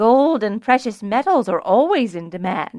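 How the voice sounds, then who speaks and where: A woman's put-on character voice, fairly high in pitch, at a moderate pace, with very wide pitch swings. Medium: read story. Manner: measured, deliberate.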